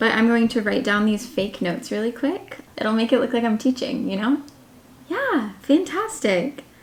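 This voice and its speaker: A woman with an American accent talks at a moderate pace in a high pitch, her intonation lively, with noticeable background noise behind her. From United States. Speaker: online English teacher and vlogger. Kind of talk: casual vlog. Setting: home, in her room. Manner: casual, filler-heavy.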